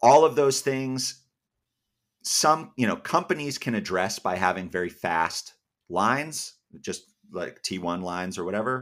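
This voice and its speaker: A man speaks at a fairly slow pace with long, frequent pauses. His pitch swings very widely in a very clean recording with a silent background. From US Northeast, Massachusetts. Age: young. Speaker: editor and company founder. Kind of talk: interview.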